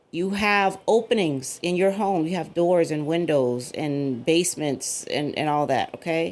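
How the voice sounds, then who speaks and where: Animated in tone, a woman speaks at a fairly slow pace with hardly any pauses, her fairly low pitch showing ordinary variation. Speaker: cyber security commentator. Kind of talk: casual monologue video. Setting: at home. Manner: loud.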